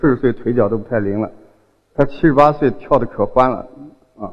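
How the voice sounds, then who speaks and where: A man talks at a fairly quick pace with a slight southern Chinese accent. His pitch is medium and his intonation fairly even. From Xinjiang, China. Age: 40s. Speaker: folk singer. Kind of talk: public talk. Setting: stage with audience. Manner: hesitant, many fillers.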